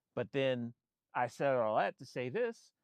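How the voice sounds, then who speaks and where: This man's intonation is lively. He talks in an American accent. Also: quiet background. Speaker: photographer and vlogger. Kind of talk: casual monologue. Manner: halting, many repetitions and restarts.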